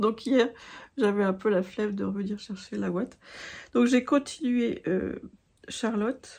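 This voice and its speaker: A woman with a fairly high, somewhat breathy voice speaks at a fairly slow pace. Her pitch varies in an ordinary way, and she leaves long, frequent pauses. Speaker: craft vlogger. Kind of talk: casual chat. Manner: halting.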